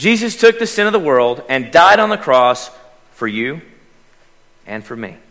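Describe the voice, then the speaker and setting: With an Oklahoma accent, a man speaks at a moderate pace in a bright, sharp tone, his fairly high pitch swinging very widely, his loudness shifting greatly, and his pauses long and frequent. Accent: Oklahoma Southern US. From Oklahoma, US. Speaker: lay preacher. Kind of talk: sermon. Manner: chatty.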